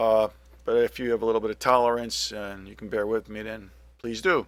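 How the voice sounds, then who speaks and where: The recording is very clean, with a silent background. A man speaks at a moderate pace with a medium pitch. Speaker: gaming YouTuber. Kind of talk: gameplay commentary tutorial. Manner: hesitant, many fillers.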